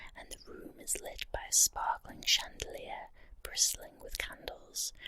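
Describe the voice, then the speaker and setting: Whispering at a fairly slow pace. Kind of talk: guided visualization ghost story. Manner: soft-spoken.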